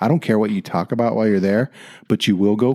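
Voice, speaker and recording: A man with an American accent and a dark, mellow tone, ordinary pitch variation, and a dry, close sound with no echo. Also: very clean recording, silent background. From US South. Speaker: podcast host, retired police officer. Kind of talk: casual interview. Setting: recording with a mic in person.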